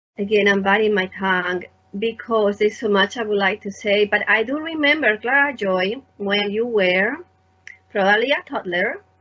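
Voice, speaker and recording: A woman speaks with a Spanish accent in a fairly high voice. Her pace is moderate and her pitch varies in an ordinary way. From Spain. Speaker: artist and teacher, interviewer. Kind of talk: conversational interview.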